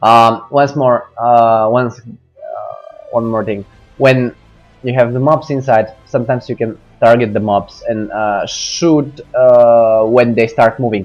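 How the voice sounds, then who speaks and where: A man speaks at a very slow pace, his pitch in the medium range and his intonation fairly even. Music plays in the background. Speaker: gamer giving a game guide. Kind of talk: game tutorial commentary. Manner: hesitant, many fillers.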